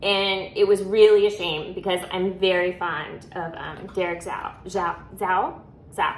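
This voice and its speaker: The delivery is monotone and flat at a fairly slow pace. Its loudness swings widely. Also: woman. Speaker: reality TV commentator. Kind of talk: casual episode review vlog. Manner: frequent filler ums.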